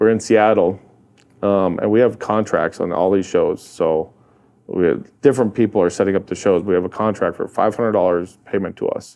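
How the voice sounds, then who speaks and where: In a North Dakota accent, the speaker talks at a fairly quick pace with a dark, mellow tone. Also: man. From North Dakota, US (Hazen, central). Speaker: real estate investor and rancher. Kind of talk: casual interview chat. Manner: animated storytelling.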